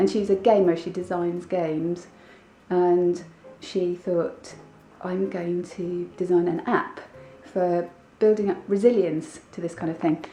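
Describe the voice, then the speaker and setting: A woman's fairly low, flat, monotone voice at a fairly slow pace, music playing behind her. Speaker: vlogger. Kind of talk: casual vlog. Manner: subdued.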